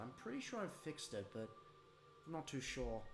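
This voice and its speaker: Speech races along at a very fast pace. Music sounds behind it. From Australia. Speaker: toy reviewer streamer. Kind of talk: live stream reaction. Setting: home live stream at night. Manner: quiet, holding back volume.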